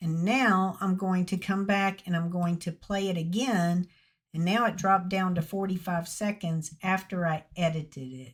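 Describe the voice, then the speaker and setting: In a very clean recording with a silent background, a somewhat breathy woman with an American accent speaks at medium pitch with fairly even intonation. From Mississippi, US South. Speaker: YouTube tutorial creator. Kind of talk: tutorial. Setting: screen recording with microphone. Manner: slow, with many pauses.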